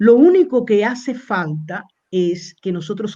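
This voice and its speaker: This woman's voice has a dark, mellow tone. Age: 60s. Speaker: university professor. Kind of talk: interview lecture.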